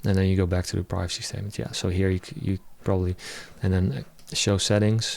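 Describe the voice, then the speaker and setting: This man talks very fast with a non-native accent. His voice is very deep and low, with ordinary pitch variation. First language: not English. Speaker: web developer. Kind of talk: live coding tutorial. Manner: halting.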